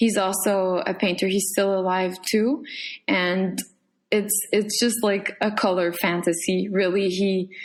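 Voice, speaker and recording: A woman speaks with a Quebec French accent at a fairly slow pace. Her medium pitch carries fairly even intonation, and her loudness stays very even. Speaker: painter. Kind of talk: casual chat. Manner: halting.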